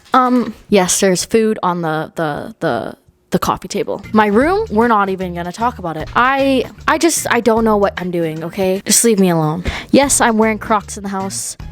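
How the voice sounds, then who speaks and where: The intonation is lively and the tone animated. Music plays in the background. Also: woman, medium pitch for a woman, moderate pace. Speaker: lifestyle vlogger. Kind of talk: casual vlog chat. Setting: at home, filmed on tripod.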